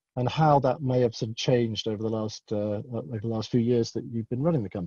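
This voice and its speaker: A man with a British accent speaks very fast at a medium pitch, his tone dark and mellow and somewhat breathy, in a dry, close sound with no echo. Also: ordinary pitch variation. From UK. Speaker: conference moderator. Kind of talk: panel interview. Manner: halting.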